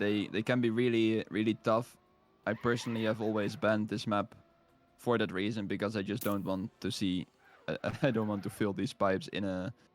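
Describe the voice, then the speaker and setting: A fairly low-pitched man with fairly even intonation at a fairly quick pace, with music in the background. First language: not English. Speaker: esports commentator. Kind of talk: live commentary.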